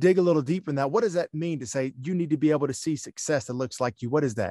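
Speaking in a Southern US accent, a man's voice sits at a fairly high pitch. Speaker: podcast host. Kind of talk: interview, podcast host. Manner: upbeat, positive.

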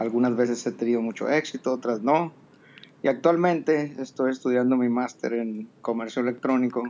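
At medium pitch and a moderate pace, the man has an unremarkable speaking voice with fairly even intonation. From Mexico, Sonora. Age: 50s. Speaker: entrepreneur, audience participant. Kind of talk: casual chat. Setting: live audio app room.

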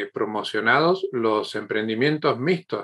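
This is a man talking. The pitch variation is ordinary. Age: 50s. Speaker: podcast host. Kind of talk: interview. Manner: halting, many repetitions.

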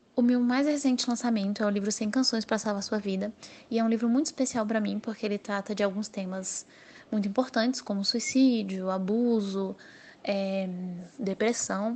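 A woman's somewhat breathy, fairly high voice at a moderate pace, with fairly even intonation. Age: 20s. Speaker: novelist. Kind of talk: interview monologue.

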